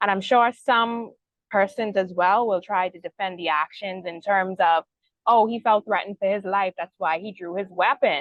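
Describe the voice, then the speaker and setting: A woman with a Bahamian accent, medium-pitched, at a moderate pace, her loudness swinging widely. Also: ordinary pitch variation. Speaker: news show host moderating panel. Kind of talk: news discussion panel.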